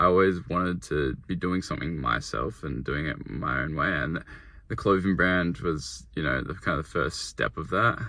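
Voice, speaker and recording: With an Australian accent, a man speaks at a moderate pace in a very deep, low pitch, his bright, sharp tone carrying vocal fry and lively intonation in a very clean recording with a silent background. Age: 20s. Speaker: young entrepreneur vlogger. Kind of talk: casual vlog monologue. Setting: in a car. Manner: rambling, filler-heavy.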